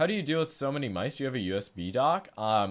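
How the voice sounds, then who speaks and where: A man talking at a very fast pace. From New York. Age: 20s. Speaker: streamer reviewing gaming mice. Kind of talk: live stream Q&A reading chat. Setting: live stream at home. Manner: casual, fast with filler words.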